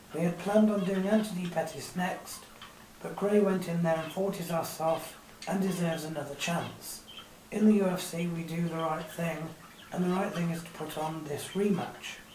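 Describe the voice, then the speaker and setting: A woman at a fairly low pitch, with fairly even intonation and a moderate pace, over noticeable background noise. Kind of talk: casual sports review commentary.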